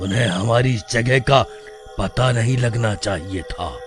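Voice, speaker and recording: A man's cartoonish character voice in a menacing tone, with clear background noise. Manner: domineering, menacing.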